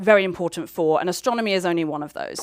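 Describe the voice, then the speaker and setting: A woman speaks with a British accent. Her pitch is fairly low. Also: very clean recording, silent background. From United Kingdom. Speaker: astronomer. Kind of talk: public science lecture. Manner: casual, chatty.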